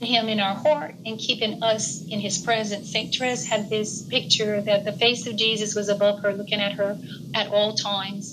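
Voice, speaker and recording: A woman with a normal speaking voice talks at a moderate pace and medium pitch, with fairly even intonation and hardly any pauses. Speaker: participant. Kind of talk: sharing in group discussion.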